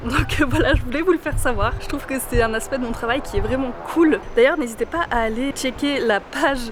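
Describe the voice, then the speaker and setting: A woman talks at a fairly quick pace in a high pitch. Noticeable background noise sits behind her. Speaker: vlogger. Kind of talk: vlog. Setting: café, then walking outdoors. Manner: soft-spoken.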